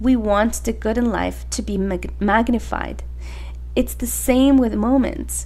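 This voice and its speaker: The pace is fairly slow. Background noise is noticeable throughout. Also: woman. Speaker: podcast host; mother. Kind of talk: podcast monologue. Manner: reflective, gentle.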